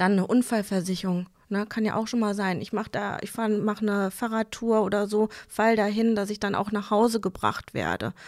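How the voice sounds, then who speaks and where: A woman with monotone, flat intonation and hardly any pauses, on a very clean recording with a silent background. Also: medium pitch for a woman, moderate pace. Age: 30s. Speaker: bank advisor. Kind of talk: casual interview.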